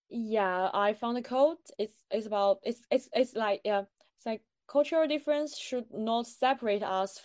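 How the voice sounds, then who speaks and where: A woman with a Chinese accent speaks at a fairly slow pace with a fairly high pitch and ordinary pitch variation, in a dry, close sound with no echo and a quiet background. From China. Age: 20s. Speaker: postgraduate student. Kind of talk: casual interview. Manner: halting, with fillers and self-corrections.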